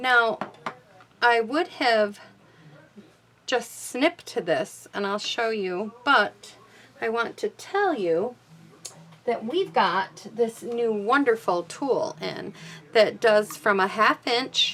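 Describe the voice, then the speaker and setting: At a very slow pace with long, frequent pauses, a woman speaks in a fairly high pitch with lively intonation. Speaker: card-making crafter and stamp demonstrator. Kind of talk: craft tutorial. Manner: casual, slightly halting.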